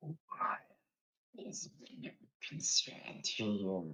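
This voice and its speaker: A man uses a put-on character voice at a fairly high pitch and a very slow pace. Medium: actual play. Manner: haughty, contemptuous.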